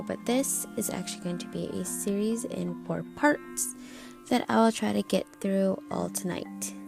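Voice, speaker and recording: A woman's voice with music in the background. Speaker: podcaster reading horror stories. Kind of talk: horror story reading.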